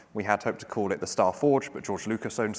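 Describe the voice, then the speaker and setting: A man is speaking. He goes at a very fast pace. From UK. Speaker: startup CEO. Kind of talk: panel discussion.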